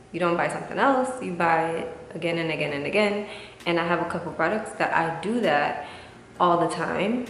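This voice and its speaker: The woman's pitch sits fairly low. Noticeable background noise and audible room echo fill the recording. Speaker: beauty vlogger. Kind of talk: casual vlog talk to camera. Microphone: usual echo when recording.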